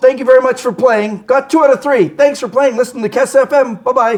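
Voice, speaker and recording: This man uses a put-on character voice pitched extremely high. He rattles through his lines at a very fast pace. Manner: announcer voice.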